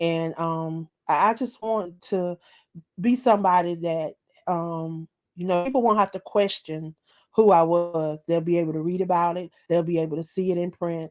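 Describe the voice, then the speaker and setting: At a moderate pace, a woman with a Southern US accent talks at a fairly low pitch with ordinary pitch variation, in a very clean recording with a silent background. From US South, rural South Carolina. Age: 40s. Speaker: author and internet radio host. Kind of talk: interview. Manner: halting, with fillers.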